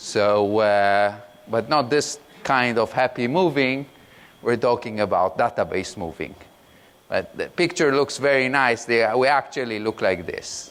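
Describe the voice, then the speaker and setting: Speaking at a fairly slow pace, a man with a non-native accent uses a medium pitch. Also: ordinary pitch variation. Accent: foreign accent, self-described awkward. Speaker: product manager, conference speaker. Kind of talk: conference talk. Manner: halting, many fillers.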